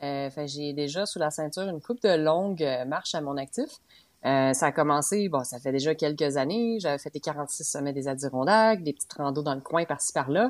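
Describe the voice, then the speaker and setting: Fairly quick speech with ordinary pitch variation, in a very clean recording over a silent background. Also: woman, very deep, low pitch for a woman. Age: 30s. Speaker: podcast co-host, long-distance hiker. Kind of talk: casual chat.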